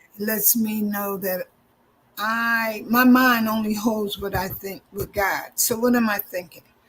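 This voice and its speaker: A woman speaks in a normal speaking voice at a fairly high pitch, her intonation fairly even and her pace fairly slow. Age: 60s. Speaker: minister and EFT practitioner. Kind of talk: interview.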